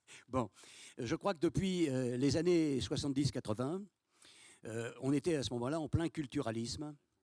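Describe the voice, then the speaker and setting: The voice has a dark, mellow tone and ordinary pitch variation, with long, frequent pauses. The recording is very clean, with a silent background and a dry, close sound with no echo. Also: man, fairly high pitch for a man, moderate pace. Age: 80s+. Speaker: conference speaker. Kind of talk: panel discussion answer. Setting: auditorium with audience. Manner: hesitant, casual.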